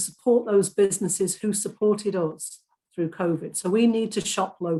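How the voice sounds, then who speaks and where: A woman with a Lancashire accent speaks at medium pitch and a moderate pace. Her voice is somewhat breathy, with a dark, mellow tone. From Lancashire, northern England. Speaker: political candidate. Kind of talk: hustings debate answer.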